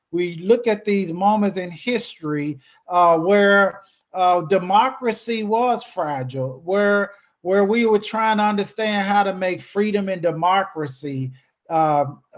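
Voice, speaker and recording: Fairly slow and high-pitched, a man speaks with an American accent and ordinary pitch variation. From US South, Memphis, Tennessee. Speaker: educator and nonprofit speaker. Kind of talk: presentation to a club. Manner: hesitant with fillers and repeats.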